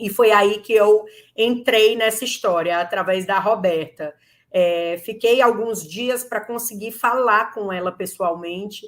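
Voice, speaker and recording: A woman with a Ceará accent, fairly slow, with ordinary pitch variation. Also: fairly high pitch for a woman. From Brazil, Ceará. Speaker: lawyer. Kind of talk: interview.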